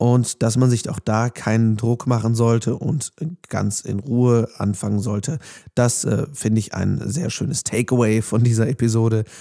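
At a moderate pace, a man talks with a dark, mellow tone, medium pitch and fairly even intonation. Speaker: podcast host and voice-over speaker. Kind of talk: podcast intro and outro. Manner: casual.

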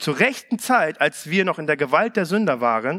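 Very wide pitch swings run through a bright, sharp tone that is also warm and animated. The sound is dry and close, with no echo. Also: man. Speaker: preacher. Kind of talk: sermon. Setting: church. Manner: warm, animated, conversational preaching; direct, earnest appeals to the congregation.

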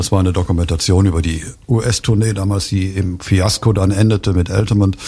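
A man speaks with a very deep, low pitch and fairly even intonation. Noticeable background noise runs underneath. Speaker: book author. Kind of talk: radio interview. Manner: halting, many fillers and restarts.

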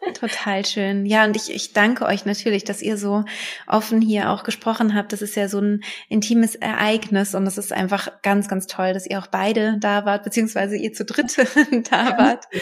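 Noticeable background noise sits behind the recording. A woman speaks with monotone, flat intonation. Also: medium pitch for a woman, moderate pace. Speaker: podcast host, birth preparation coach. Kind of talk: casual interview.

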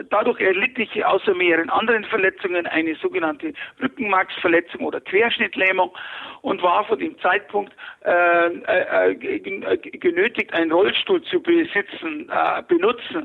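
His pitch is high and swings very widely. This man speaks at a fairly slow pace. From Bavaria, Fürstenfeldbruck near Munich. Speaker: former tax advisor and convicted fraudster. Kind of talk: interview. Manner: hesitant, many filler sounds.

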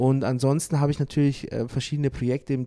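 A man speaks in a dark, mellow tone. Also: dry, close sound with no echo. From Bavaria, Manching near Ingolstadt. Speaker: jazz trumpeter. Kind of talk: interview. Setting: backstage at a cultural venue.

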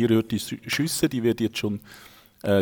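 With a Swiss accent, the speaker keeps a moderate pace and ordinary pitch variation, in a dry, close sound with no echo. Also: man. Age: 40s. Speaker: esports founder, father. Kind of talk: gameplay commentary; casual chat.

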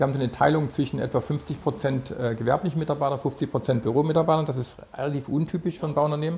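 A man's somewhat breathy voice at a very fast pace, with hardly any pauses and fairly even intonation. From Saxony, Chemnitz. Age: 60s. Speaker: company founder and CEO. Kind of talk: interview. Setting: company office.

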